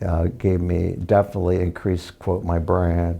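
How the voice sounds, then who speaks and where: A man with an American accent speaks in a dark, mellow tone. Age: 70s. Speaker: arts contributor and TV producer. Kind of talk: interview conversation. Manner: halting, with fillers.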